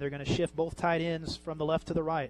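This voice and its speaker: A man speaks in an animated, excited tone. His pitch sits fairly high. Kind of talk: live sports commentary. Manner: fast, animated play-by-play, rapid-fire down-and-distance calls, excited on big plays.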